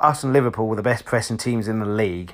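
Very fast speech from a man with an English accent, fairly low in pitch with fairly even intonation. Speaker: football fan podcaster. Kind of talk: solo football commentary vlog. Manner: monotone.

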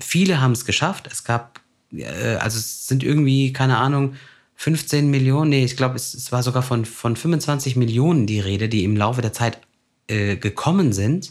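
Speaking in a plain, everyday voice, the man keeps a moderate pace and a medium pitch that varies in an ordinary way. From Germany, Turkish immigrant family. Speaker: podcast host. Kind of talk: casual chat.

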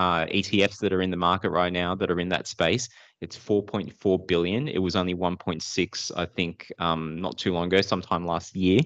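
A man with a very deep, low voice talks at a moderate pace over a quiet background. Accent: Australian. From Sydney, Australia (born Philippines, moved at two). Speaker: data analytics entrepreneur. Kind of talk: interview.

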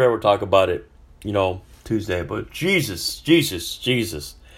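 With an American accent and a fairly low pitch, a man talks at a moderate pace in an animated, somewhat breathy tone with lively intonation, captured in a very clean recording with a silent background. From California. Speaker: sports podcast host. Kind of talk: casual solo sports commentary.

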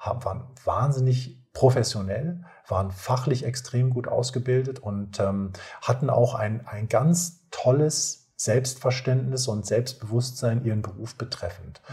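Somewhat breathy and dark, mellow in tone, a man speaks fairly slowly at medium pitch with ordinary pitch variation. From northern Germany, North Sea coast. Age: 40s. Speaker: nurse. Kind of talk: casual interview.

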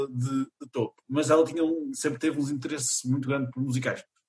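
Somewhat breathy, a man talks at a fairly high pitch. His pace is fairly quick and his intonation fairly even. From Portugal, Chaves (north). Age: 20s. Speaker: theatre student and college radio member. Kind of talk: casual interview.

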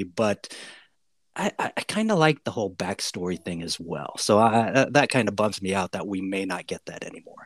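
In a normal speaking voice with an American accent, a man talks at a moderate pace in a fairly low pitch with ordinary pitch variation, on a very clean recording with a silent background and a dry, close sound with no echo. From USA. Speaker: podcast host. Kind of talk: casual chat.

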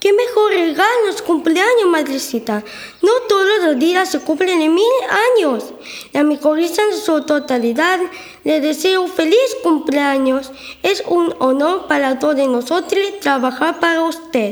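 Extremely high pitch at a fairly slow pace. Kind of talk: school radio drama. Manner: cheerful, eager.

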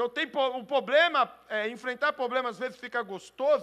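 A man projects a raised voice with a bright, sharp tone. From Brazil. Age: 40s. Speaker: pastor. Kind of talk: sermon.

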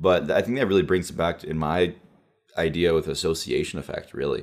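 The pace is moderate. The speaker is a man. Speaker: podcast host. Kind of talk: casual conversation.

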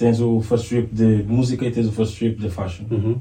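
A man with a plain, everyday voice talks at a fairly slow pace in a medium pitch. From Portugal, Lisbon south bank. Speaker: fashion coach and model. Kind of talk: casual chat.

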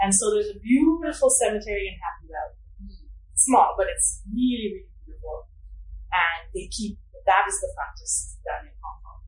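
A woman with an American accent speaks at a moderate pace, her loudness swinging widely, with audible room echo. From United States. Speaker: anthropology professor. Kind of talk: interview.

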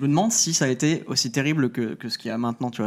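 Talking very fast, a man with a fairly high pitch shows ordinary pitch variation. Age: 20s. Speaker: YouTuber. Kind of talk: casual live-stream chat.

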